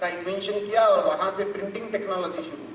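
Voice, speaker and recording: Speaking with a Marathi accent, a man with a high pitch is heard amid noticeable background noise and audible room echo. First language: Marathi (speaking Hindi). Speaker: chief guest speaker. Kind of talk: formal speech.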